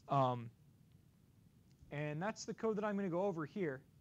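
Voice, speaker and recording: A man's voice, high in pitch. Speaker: graduate student lecturer. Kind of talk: lecture.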